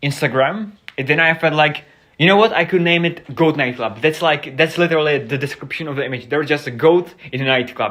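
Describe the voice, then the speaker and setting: A man with a Czech accent speaks at a fairly quick pace in a fairly high pitch, his tone bright and sharp, with ordinary pitch variation. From Czech Republic. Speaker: streamer. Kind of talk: casual live stream chat. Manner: halting, unscripted.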